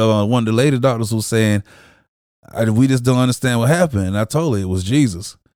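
In a very clean recording with a silent background, a man with a plain, everyday voice talks fairly quickly at a medium pitch with ordinary pitch variation. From Jacksonville, Florida, with time in Chicago. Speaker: church member sharing testimony. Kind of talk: testimony. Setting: studio.

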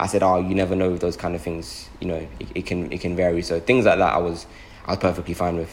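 A man with a very deep, low pitch and vocal fry, at a very fast pace. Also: ordinary pitch variation. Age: 20s. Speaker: actor. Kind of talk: casual chat.

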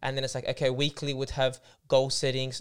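Recorded very cleanly against a silent background, a man with an Australian accent speaks very fast at a medium pitch. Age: 20s. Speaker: podcast co-host. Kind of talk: casual chat.

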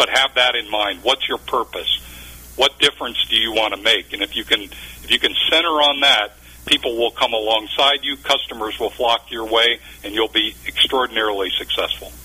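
There is noticeable background noise behind a man at a medium pitch. He talks at a moderate pace with ordinary pitch variation. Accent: American. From Ohio, near Cleveland. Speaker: business consultant and author. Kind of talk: radio interview.

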